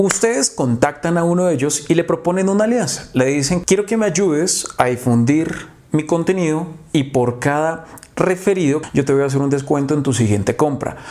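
Against noticeable background noise, a man with a fairly high-pitched voice talks at a moderate pace with lively intonation. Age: 20s. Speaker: marketing consultant. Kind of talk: tutorial.

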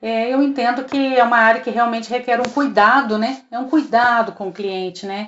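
A woman in a normal speaking voice talks at a fairly high pitch with fairly even intonation, keeping a moderate pace with hardly any pauses. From southern Minas Gerais, Brazil (Três Corações). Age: 50s. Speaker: customer service supervisor. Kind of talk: interview.

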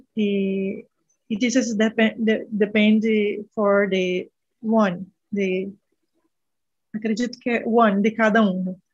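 A woman's fairly high, somewhat breathy voice in a monotone, flat intonation, at a very slow pace with long, frequent pauses. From northern Brazil. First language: Portuguese. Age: 30s. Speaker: medical student. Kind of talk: casual chat. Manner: halting.

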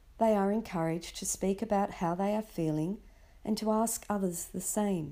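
A woman with an Australian accent speaks at a medium pitch and moderate pace, her dark, mellow tone and fairly even intonation captured in a very clean recording with a silent background. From Sydney, Australia. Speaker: parenting podcaster. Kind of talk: scripted narration.

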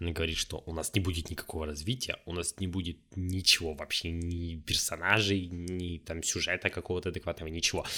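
A man's very deep, low voice, bright and sharp in tone and animated, at a fairly quick pace with hardly any pauses. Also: very clean recording, silent background. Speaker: solo podcaster. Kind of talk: casual solo monologue. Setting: home recording at microphone. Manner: rambling, self-interrupting.

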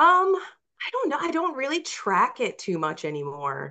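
A woman talks at a fairly slow pace, her bright, sharp tone animated and her intonation lively. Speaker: horror author and poet. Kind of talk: interview, casual chat with reading aloud. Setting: remote video call. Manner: animated, laughs often.

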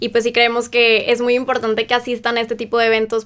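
A woman's fairly high voice rushes along at a very fast pace. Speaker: university student. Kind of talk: radio interview.

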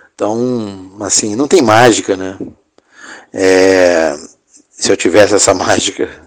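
Speaking at a very slow pace with long, frequent pauses, a man uses a fairly low pitch and ordinary pitch variation. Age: 60. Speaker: filmmaker and producer. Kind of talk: interview. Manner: halting.

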